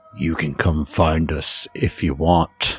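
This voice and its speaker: In a put-on character voice, a man growls at a very deep, low pitch, keeping a fairly slow pace and fairly even intonation. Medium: actual play. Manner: calm, quietly menacing.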